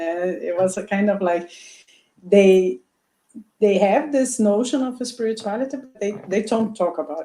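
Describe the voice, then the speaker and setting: With a Portuguese accent, a woman with a dark, mellow tone and medium pitch speaks at a moderate pace, with ordinary pitch variation, big swings in loudness, and long, frequent pauses. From Brazil. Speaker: doctor. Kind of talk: interview. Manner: halting.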